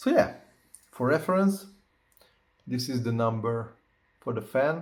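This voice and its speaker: Speaking at a fairly slow pace with a non-native accent, a man uses lively intonation in a somewhat breathy, medium-pitched voice. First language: not English. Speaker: tech reviewer. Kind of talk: tutorial. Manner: halting, many fillers; casual.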